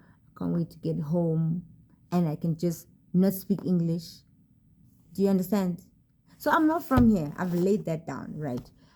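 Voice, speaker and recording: A woman's fairly low, somewhat breathy voice with a dark, mellow tone, ordinary pitch variation, a moderate pace and long, frequent pauses. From South Africa, rural area. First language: South African language other than English. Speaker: vlogger. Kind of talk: casual vlog talk to camera. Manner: hesitant, many fillers and repeats.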